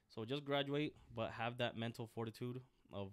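With an American accent, a man speaks in a normal speaking voice. His pace is fairly slow and his intonation fairly even. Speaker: Marine Corps veteran, aviation mechanic. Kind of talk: casual interview.

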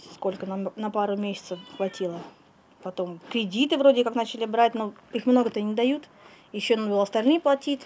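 With long, frequent pauses, a woman talks at a fairly high pitch with ordinary pitch variation. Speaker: animal trainer. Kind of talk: interview. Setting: outdoors. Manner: halting. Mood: earnest, slightly embarrassed. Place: farm machine. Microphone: handheld.

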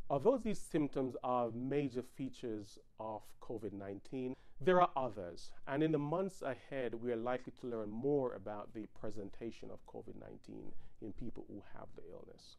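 An ordinary speaking voice moves at a moderate pace with ordinary pitch variation and big swings in loudness. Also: man, medium pitch for a man. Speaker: physician. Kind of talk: health briefing. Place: home room. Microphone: lapel.

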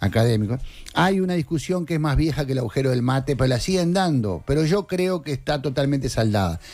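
A man talks at a very fast pace. He has an Uruguayan accent. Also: lively intonation. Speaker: journalist and news director; journalist, news director. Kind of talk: political commentary on a radio show. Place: studio. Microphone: studio mic.

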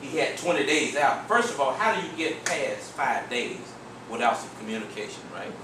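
Moderately paced speech from a man amid noticeable background noise and audible room echo. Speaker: workshop trainer. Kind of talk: training talk with storytelling. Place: meeting room. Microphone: camera far.

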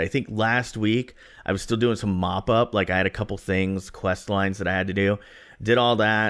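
A plain, everyday voice with fairly even intonation comes through against a quiet background. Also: man. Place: home room. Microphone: studio mic.

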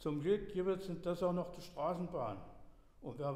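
With audible room echo, a man speaks fairly slowly in a high pitch with ordinary pitch variation. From Dessau, Saxony-Anhalt. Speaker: dialect storyteller. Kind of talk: dialect story reading. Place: church.

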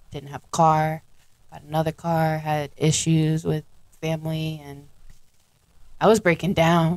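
A woman speaks with a very deep, low pitch at a fairly slow pace, using long, frequent pauses. Her intonation is monotone and flat, while her loudness swings widely. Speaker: podcast co-host. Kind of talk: casual chat.

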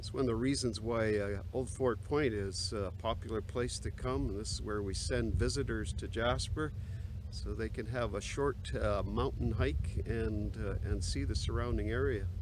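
A man speaks at a moderate pace. There is noticeable background noise, but the sound is dry with no echo. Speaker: pastor. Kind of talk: casual vlog chat. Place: open country. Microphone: phone near.

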